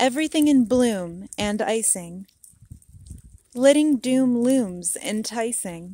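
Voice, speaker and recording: The intonation here is lively. A woman's dark, mellow tone carries it. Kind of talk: poetry reading.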